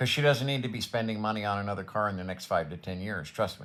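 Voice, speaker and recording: This man's voice sits fairly low in pitch and has a bright, sharp tone. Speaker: vlogger. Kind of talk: casual monologue.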